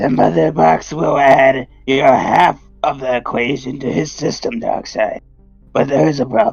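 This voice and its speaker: Over faint music in the background, a man in a raspy, put-on character voice talks at a moderate pace and a medium pitch. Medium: audio drama. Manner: obsequious, sinister.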